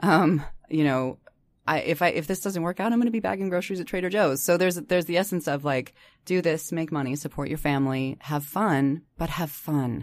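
Here is an unremarkable speaking voice from a woman with an American accent, fairly low in pitch with ordinary pitch variation. She talks at a fairly quick pace in a very clean recording with a silent background. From US, Boise, Idaho. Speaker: voice actor. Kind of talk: casual chat. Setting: studio.

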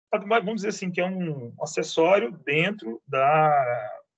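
A man speaks with very wide pitch swings. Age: 40s. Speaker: teacher and antiques dealer. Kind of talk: casual interview.

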